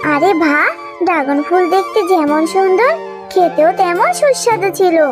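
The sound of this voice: Over clear music in the background, a woman does a cartoonish character voice at an extremely high pitch.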